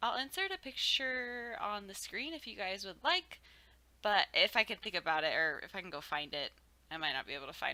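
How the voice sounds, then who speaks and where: Talking at a fairly quick pace, a woman's voice moves through very wide pitch swings. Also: medium pitch for a woman. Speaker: video game streamer. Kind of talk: casual voiceover commentary. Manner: casual, filler-heavy.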